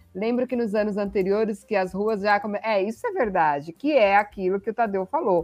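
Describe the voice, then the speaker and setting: Music plays in the background as the speaker keeps a moderate pace with ordinary pitch variation. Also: woman. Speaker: sports livestream host. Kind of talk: casual sports chat livestream. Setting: online livestream.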